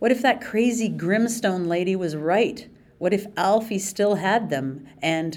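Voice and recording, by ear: A natural voice reading aloud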